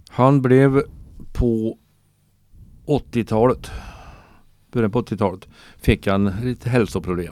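A dark, mellow voice moves at a very slow pace with long, frequent pauses. The recording is very clean and the background silent. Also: man, medium pitch for a man, ordinary pitch variation. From Sweden, Värmland (Torsby). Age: 60s. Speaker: retired cultural worker, storyteller. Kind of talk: interview, storytelling. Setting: radio studio.

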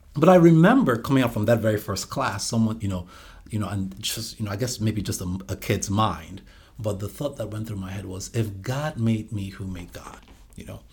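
In a fairly low voice with ordinary pitch variation, a man talks at a fairly quick pace, somewhat breathy, his loudness swinging widely. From Nigeria (Calabar, southern Nigeria). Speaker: ministry leader. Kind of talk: testimony.

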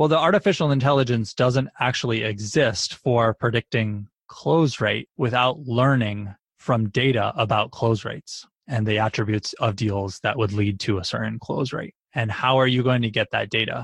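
The speech comes at a moderate pace in a somewhat breathy voice with ordinary pitch variation, recorded with a dry, close sound with no echo and a quiet background. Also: man, medium pitch for a man. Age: 30s. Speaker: tech company founder and CEO. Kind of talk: interview.

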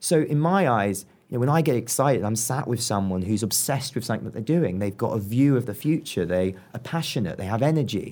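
With a southern English accent and medium pitch, a man talks at a very fast pace with lively intonation and hardly any pauses. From southern England. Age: 20s. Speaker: entrepreneur. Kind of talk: interview. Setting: club room. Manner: animated.

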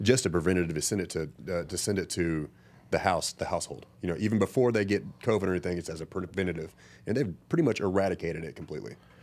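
A man speaks with a very deep, low pitch. His pace is very fast. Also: ordinary pitch variation, very clean recording, silent background. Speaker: podcast host. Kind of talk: casual interview. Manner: laid-back, laughs often.

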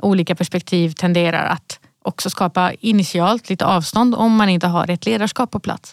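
Using a plain, everyday voice, a woman speaks at a moderate pace and medium pitch with ordinary pitch variation, recorded with a dry, close sound and no echo. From Sweden, Malmö (Rosengård). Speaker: company CEO. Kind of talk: podcast interview. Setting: podcast studio.

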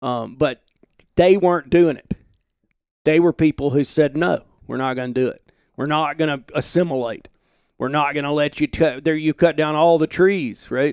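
With an Alabama accent, a man speaks at a moderate pace in a fairly high pitch and fairly even intonation, leaving long, frequent pauses, in a very clean recording with a silent background and a dry, close sound with no echo. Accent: Southern US, Alabama. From US South, Alabama. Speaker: outdoor journalist and podcast host. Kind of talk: casual interview chat. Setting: home office.

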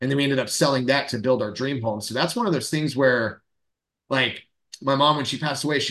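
A man with an American accent speaks at medium pitch. His intonation is monotone and flat. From Central Florida. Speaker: loan officer and podcast co-host. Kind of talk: casual chat.

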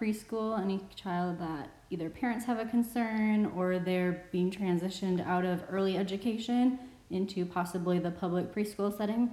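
A woman speaks in an ordinary speaking voice with an American accent. Her pitch sits in the medium range. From Wisconsin. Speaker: bilingual speech-language pathologist. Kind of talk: casual chat.

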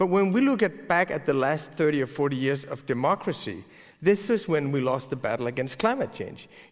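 A man with a Danish accent, fairly high in pitch, with lively intonation at a moderate pace. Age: 40s. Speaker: newspaper editor. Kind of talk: onstage interview. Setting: stage with audience.

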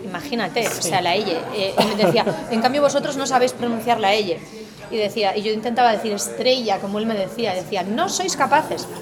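Against crowd noise in the background, a woman with a Galician accent speaks in a fairly high pitch with ordinary pitch variation. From Spain, Galicia. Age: 40s. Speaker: political communication academic. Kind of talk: interview.

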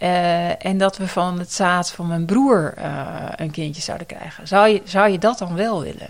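A woman with a plain, everyday voice speaks at a fairly slow pace and fairly low pitch, with ordinary pitch variation and hardly any pauses. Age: 40s. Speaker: nurse educator and researcher. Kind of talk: interview about personal experience.

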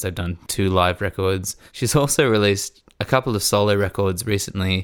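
A man's fairly low voice with an Australian accent at a moderate pace, ordinary pitch variation, and a very clean recording over a silent background. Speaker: podcast host and musician. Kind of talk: casual conversation. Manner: relaxed, chatty.

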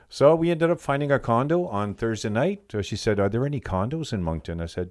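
Over a silent background in a very clean recording, a man uses a normal speaking voice at a medium pitch, a fairly quick pace and lively intonation. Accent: Canadian. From New Brunswick, Canada (Bathurst). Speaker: team bus driver. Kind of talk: interview. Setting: studio.

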